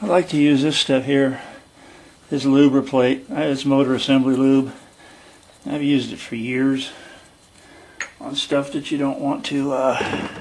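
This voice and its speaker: A man speaks at a fairly slow pace with long, frequent pauses, his fairly high voice flat and monotone over noticeable background noise. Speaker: DIY mechanic. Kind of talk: tutorial. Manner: casual, thinking aloud.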